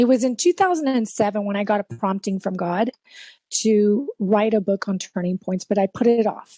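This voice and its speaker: A woman in a Spanish accent, fairly high in pitch with a dark, mellow tone, ordinary pitch variation and a moderate pace, in a dry, close sound with no echo against a quiet background. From South Texas. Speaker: life coach and keynote speaker. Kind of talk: interview.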